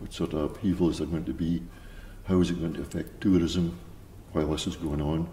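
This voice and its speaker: A man's very deep, low voice, dark, mellow and somewhat breathy, at a fairly quick pace with long, frequent pauses and fairly even intonation. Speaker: village resident. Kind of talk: interview answer.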